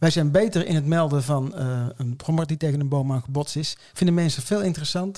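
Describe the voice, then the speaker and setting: This man's voice is fairly high in pitch, with a dark, mellow, somewhat breathy tone. He talks at a fairly quick pace with hardly any pauses and ordinary pitch variation. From Nijmegen, Netherlands. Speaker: podcast co-host. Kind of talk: casual chat.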